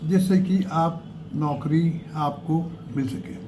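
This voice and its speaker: The recording carries audible room echo. Pitch variation is ordinary. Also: man. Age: 80s+. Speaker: career advice youtuber. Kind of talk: tutorial. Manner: halting, with fillers.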